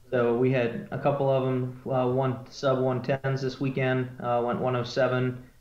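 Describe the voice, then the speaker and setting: Audible room echo surrounds a man with an American accent. He speaks fairly slowly in a flat monotone. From Ohio, US Midwest. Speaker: drag racing team member. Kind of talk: casual interview. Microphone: video call.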